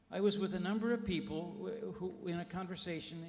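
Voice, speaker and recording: A man speaks at a moderate pace in an American accent, with noticeable background noise and audible room echo. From United States. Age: old. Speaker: criminologist. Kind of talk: award lecture. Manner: halting.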